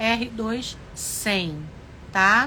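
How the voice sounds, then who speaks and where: Bright, sharp, fairly high-pitched speech from a woman. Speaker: sewing teacher, craft studio owner. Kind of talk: live sewing tutorial.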